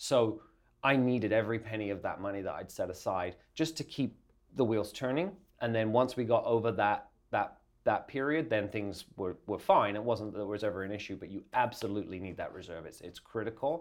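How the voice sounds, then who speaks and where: A man with an Essex accent talks at a fairly quick pace in a fairly low voice. His loudness swings widely, while his pitch varies in an ordinary way. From England, Essex. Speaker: design agency owner. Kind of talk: interview.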